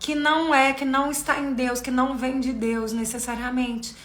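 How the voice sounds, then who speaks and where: In a raised, projected voice with a high pitch and fairly even intonation, a woman speaks at a moderate pace amid audible room echo. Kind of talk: live stream talk on faith. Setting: live video stream.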